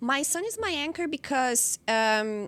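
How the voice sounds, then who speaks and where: A woman with a Brazilian accent speaks at a fairly slow pace in a high pitch. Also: quiet background. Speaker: interviewee sharing life story. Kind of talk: personal interview. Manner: halting, with fillers and repetitions.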